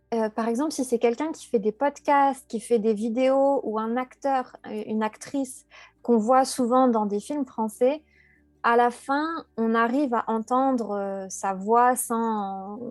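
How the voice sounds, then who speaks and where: Music plays in the background as a woman speaks very slowly. Her pitch is fairly high and her intonation fairly even. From France. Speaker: French teacher and content creator. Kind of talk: interview. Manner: hesitant, many fillers and repetitions.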